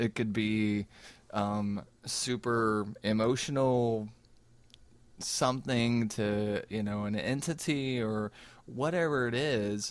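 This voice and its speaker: Very slowly, a man with an American accent speaks, leaving long, frequent pauses. His pitch varies in an ordinary way, and the recording is very clean with a silent background. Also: medium pitch for a man. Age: 40s. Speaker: podcast co-host. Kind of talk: casual chat. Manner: stammering repetitions.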